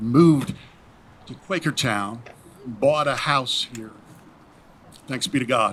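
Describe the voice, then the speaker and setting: With music in the background, a man with a Southern US accent speaks fairly slowly at a medium pitch with lively intonation. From Tennessee. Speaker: pastor. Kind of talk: public comment speech. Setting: school board meeting.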